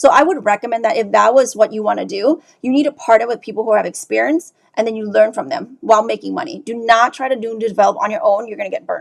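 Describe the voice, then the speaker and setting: A woman talks at a very fast pace with a fairly high pitch, lively intonation and vocal fry. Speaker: real estate investor. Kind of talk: live Q&A stream.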